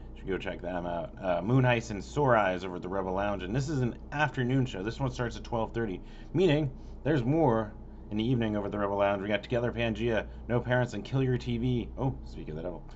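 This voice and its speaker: A man with a fairly low pitch and vocal fry talks at a very fast pace, his pitch swinging very widely. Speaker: local music concert calendar vlogger. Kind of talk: casual event listing monologue. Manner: rushed; stumbling over names.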